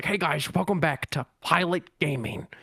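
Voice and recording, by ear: This is a put-on character voice, raspy and at a middle pitch. It moves at a moderate pace.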